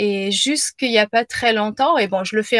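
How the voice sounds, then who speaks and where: At a moderate pace, a woman speaks at a medium pitch, the sound dry and close with no echo. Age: 40s. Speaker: business coach and yoga teacher. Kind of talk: casual chat. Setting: live video stream. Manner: halting.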